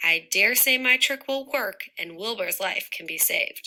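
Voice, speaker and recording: At a moderate pace, a woman uses a raspy, high-pitched put-on character voice. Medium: read story.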